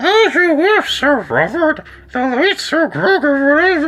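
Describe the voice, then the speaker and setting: A high, squeaky put-on character voice. It speaks at a very slow pace. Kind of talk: formal, archaic.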